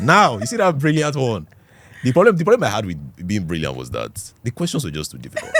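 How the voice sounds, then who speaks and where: A man's voice comes through with noticeable noise behind it. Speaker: podcast guest. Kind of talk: casual chat.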